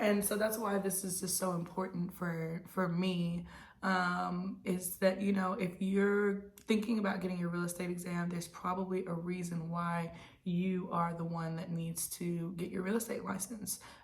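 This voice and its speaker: Monotone, flat intonation from a woman with an American accent, medium pitch and moderate pace, plus audible room echo. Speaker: real estate agent. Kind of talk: casual advice monologue.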